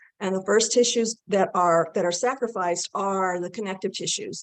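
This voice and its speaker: With an ordinary speaking voice, a woman talks at a moderate pace in a medium pitch with fairly even intonation. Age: 60s. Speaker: nutrition expert. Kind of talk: interview.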